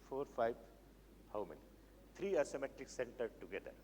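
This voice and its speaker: This man's voice sits at a medium pitch and carries vocal fry. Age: 70s. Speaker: chemistry professor. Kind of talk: lecture. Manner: halting.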